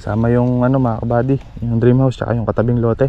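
A man at a medium pitch talks fairly quickly, his intonation flat and monotone. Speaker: farm vlogger. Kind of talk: casual vlog narration. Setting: outdoors on a farm.

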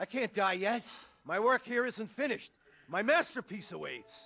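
In a put-on character voice, a man talks high and fairly slowly, with vocal fry, a bright, sharp tone and lively intonation.

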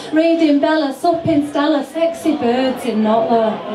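A woman at a high pitch and fairly slow pace, with noticeable background noise. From Yorkshire, England. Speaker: poet. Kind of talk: live poetry performance. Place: bar.

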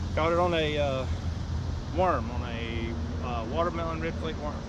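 A moderate pace over loud background noise, in a dry sound with no echo. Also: man. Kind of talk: casual fishing vlog commentary. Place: boat. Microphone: camera far.

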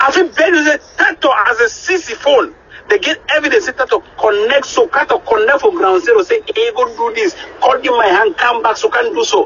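The voice moves at a fairly quick pace with few pauses and lively intonation. Its tone is fairly bright. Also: man, extremely high pitch for a man.

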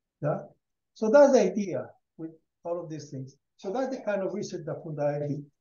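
A high-pitched man speaks at a moderate pace with lively intonation and big swings in loudness. Long, frequent pauses break up his speech, and room echo can be heard. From Colombia. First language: Spanish. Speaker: rural education program founder; guest. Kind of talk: presentation. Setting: video call. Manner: halting. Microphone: headset.

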